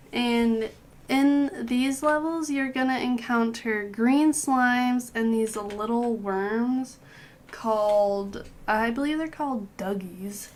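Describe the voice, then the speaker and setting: Speaking at a very slow pace, the woman has a high-pitched voice. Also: ordinary pitch variation. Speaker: gaming guide creator. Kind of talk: game tutorial voice-over. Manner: casual, chatty.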